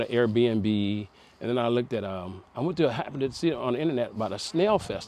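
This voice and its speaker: A man delivers his words fairly quickly, his pitch medium and its variation ordinary. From United States. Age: 60s. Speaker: retired Air Force veteran and farmer. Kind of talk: casual interview. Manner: halting, with frequent fillers and repeats.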